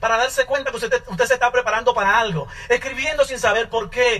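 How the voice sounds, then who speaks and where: A raised, projected voice comes at a fairly quick pace over noticeable background noise. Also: man. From Dominican Republic, Santo Domingo. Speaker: network marketing business owner. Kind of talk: testimony.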